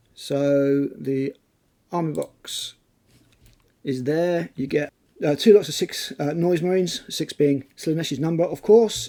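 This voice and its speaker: Speaking very slowly in a British accent, a man uses a fairly high pitch, a dark, mellow tone, ordinary pitch variation and long, frequent pauses. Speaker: tabletop wargaming YouTuber. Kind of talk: casual talk to camera.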